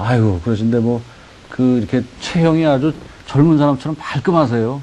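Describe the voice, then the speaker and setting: A man's medium-pitched voice at a moderate pace, with ordinary pitch variation, very even loudness and noticeable background noise. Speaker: TV interview host. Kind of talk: interview.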